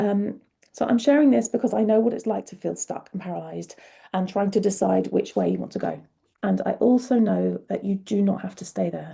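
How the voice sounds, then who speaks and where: The woman talks at a fairly quick pace. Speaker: career coach. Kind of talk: online workshop talk to viewers. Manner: casual, conversational.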